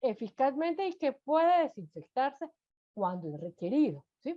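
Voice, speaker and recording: The woman has a high pitch and speaks at a fairly slow pace. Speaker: food safety instructor. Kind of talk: lecture.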